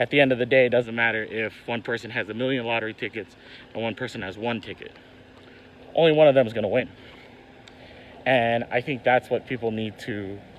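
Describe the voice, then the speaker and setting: Fairly quick, fairly even speech from a man, in a dry sound with no echo. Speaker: card game vlogger. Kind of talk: casual vlog chat. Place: street. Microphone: phone near.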